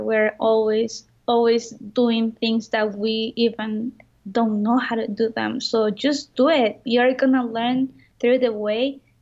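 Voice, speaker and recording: A speaker with a Spanish accent talks at a very slow pace. The intonation is monotone and flat. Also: woman. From Mexico. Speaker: entrepreneur. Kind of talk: interview.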